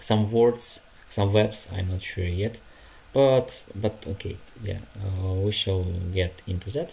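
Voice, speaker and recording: The speech comes very slowly in a Ukrainian accent, with fairly even intonation. Long, frequent pauses break it up. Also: man. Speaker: language learner streamer. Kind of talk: casual study livestream. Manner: halting, many fillers.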